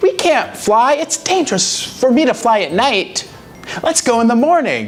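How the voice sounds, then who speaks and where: Over clear background noise, a put-on character voice that sounds female talks at a moderate pace and a fairly high pitch. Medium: read story. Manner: hesitant, stammering.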